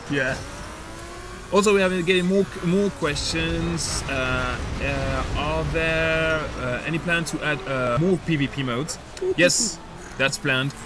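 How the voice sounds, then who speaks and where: Over noticeable background noise, a man with a non-native accent speaks fairly slowly at a fairly high pitch with ordinary pitch variation and long, frequent pauses. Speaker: game community developer, stream co-host. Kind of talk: live stream Q&A. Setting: live stream. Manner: halting, many fillers.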